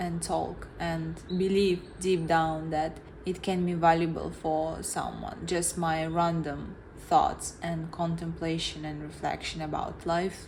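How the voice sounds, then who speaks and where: Against noticeable background noise and audible room echo, a woman with a non-native accent talks at a fairly slow pace in a fairly low pitch. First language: not English. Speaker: vlogger. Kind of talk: reflective monologue. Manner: halting.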